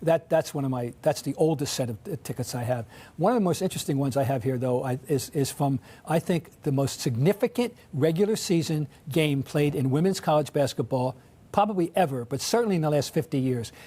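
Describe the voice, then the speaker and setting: Somewhat breathy, a man talks at a fairly quick pace with lively intonation, a fairly high pitch and a dark, mellow tone. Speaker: sports writer. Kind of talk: interview. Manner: halting, many restarts.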